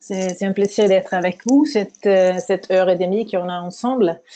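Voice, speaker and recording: With a non-native accent, a woman speaks at a medium pitch. Her tone is dark and mellow, and her intonation fairly even. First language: not French (speaking French). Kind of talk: webinar lecture. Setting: online webinar. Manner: halting, many hesitations.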